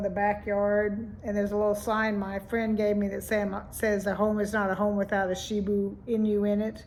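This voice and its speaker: A moderate, flat, monotone delivery with audible room echo. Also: woman. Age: 70s. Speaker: vlogger. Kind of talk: casual vlog monologue.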